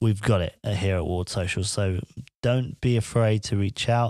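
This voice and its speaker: With an English accent and a fairly low pitch, a man talks on a very clean recording over a silent background. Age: 20s. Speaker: podcaster and vlogger. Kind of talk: casual solo monologue. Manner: rambling, informal.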